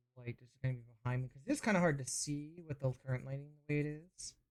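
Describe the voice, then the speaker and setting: The speaker is soft-spoken. The pace is very fast. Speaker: vtuber streamer. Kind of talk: casual live stream while building a model kit.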